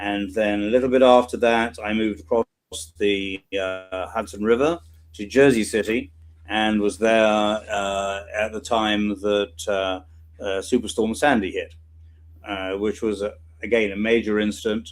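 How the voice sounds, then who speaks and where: A man with a British accent, fairly low pitch, fairly even intonation and a fairly slow pace. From UK. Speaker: emergency response volunteer. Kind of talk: interview.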